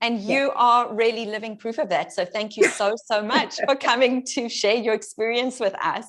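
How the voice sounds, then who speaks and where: Noticeable background noise accompanies a woman who speaks at a fairly high pitch and a moderate pace, with hardly any pauses and ordinary pitch variation. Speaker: fitness coach. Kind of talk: interview host.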